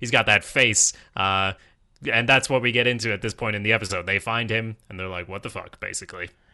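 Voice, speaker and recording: A man with a Swedish accent, very fast, fairly low in pitch, bright and sharp in tone, fairly even in intonation but with big swings in loudness, over a quiet background. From Sweden. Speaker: podcast host. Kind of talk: casual chat.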